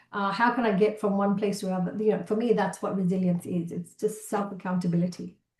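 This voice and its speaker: With a Malaysian accent, a woman speaks very fast with hardly any pauses, her somewhat breathy voice at a medium pitch and her intonation monotone and flat. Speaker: keynote speaker, entrepreneur. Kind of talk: interview conversation.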